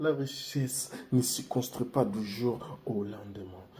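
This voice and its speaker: A man's voice at medium pitch, very slow pace, and ordinary pitch variation. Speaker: YouTuber giving life advice. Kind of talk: casual vlog monologue. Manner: relaxed, laid-back.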